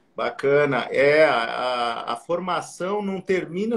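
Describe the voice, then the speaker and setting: A high-pitched man's voice with lively intonation and noticeable background noise. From southern Brazil, Porto Alegre (Rio Grande do Sul). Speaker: plastic surgeon. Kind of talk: live-stream interview.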